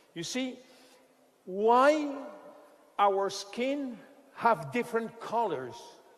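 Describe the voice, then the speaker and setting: A man with a French accent speaks in an extremely high pitch with lively intonation at a very slow pace, leaving long, frequent pauses amid audible room echo and noticeable background noise. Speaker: scientist presenting a skincare product. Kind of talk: product presentation lecture. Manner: halting.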